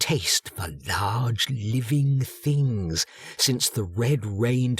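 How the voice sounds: A natural reading voice is heard, its pitch shifting in an ordinary way.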